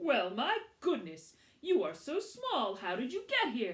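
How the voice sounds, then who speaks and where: Putting on a character voice, a woman speaks at a high pitch and a fairly slow pace. Her pitch swings very widely. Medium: read story. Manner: gentle, warm.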